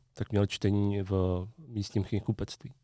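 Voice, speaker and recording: On a very clean recording with a silent background, a man's fairly low voice has a dark, mellow tone. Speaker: podcast host. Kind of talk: casual chat.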